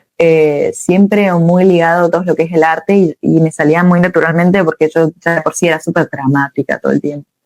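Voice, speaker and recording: A woman speaks at a fairly quick pace with hardly any pauses, her pitch fairly low. Her intonation is monotone and flat, and the sound is dry and close with no echo. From Argentina, Córdoba. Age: 20s. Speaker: rock singer-songwriter. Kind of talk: interview.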